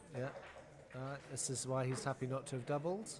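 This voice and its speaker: This somewhat breathy voice moves at a moderate pace. Audible room echo surrounds it. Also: man. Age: 50s. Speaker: backgammon commentator. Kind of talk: live commentary. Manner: animated.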